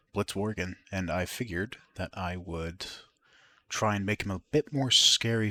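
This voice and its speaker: Soft-spoken, this man has a very deep, low pitch and a bright, sharp tone. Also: very clean recording, silent background. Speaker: YouTuber, digital artist. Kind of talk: drawing tutorial. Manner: soft-spoken, keeping voice down.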